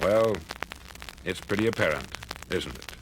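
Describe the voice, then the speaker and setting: A man does the talking. Noticeable background noise can be heard. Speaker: radio broadcaster. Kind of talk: motivational speech. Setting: 1950s spoken word record.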